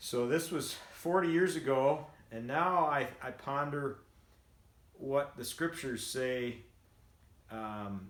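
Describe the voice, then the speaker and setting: With audible room echo, a man of medium pitch speaks very slowly, leaving long, frequent pauses, his pitch swinging very widely and his loudness shifting greatly. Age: 60s. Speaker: vlogger and home builder. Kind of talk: casual monologue. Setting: at home after treadmill walk. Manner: halting, many fillers.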